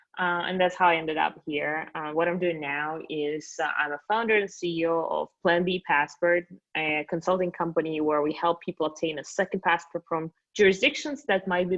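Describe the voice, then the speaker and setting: In a Russian accent, a woman with a fairly low pitch speaks at a moderate pace. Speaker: company founder. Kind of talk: interview podcast.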